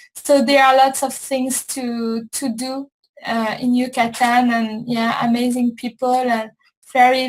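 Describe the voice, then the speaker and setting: A woman with a high pitch speaks at a fairly slow pace in a monotone, flat intonation. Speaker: spirituality show host. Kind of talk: casual interview chat. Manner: halting, repetitive.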